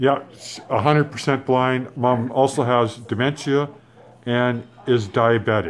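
The man's voice sits at a medium pitch, with very even loudness and fairly even intonation. He talks at a fairly slow pace over light background noise. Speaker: son filming his mother. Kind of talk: casual talk to camera. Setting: extended care facility. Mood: warm, gentle. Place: home room. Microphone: phone near.

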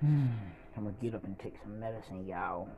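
Against noticeable background noise, a man with a dark, mellow tone and fairly low pitch talks at a moderate pace, somewhat breathy, with ordinary pitch variation. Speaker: vlogger. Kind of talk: casual vlog chat. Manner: weak, pained voice from bed. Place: home room. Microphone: phone near.

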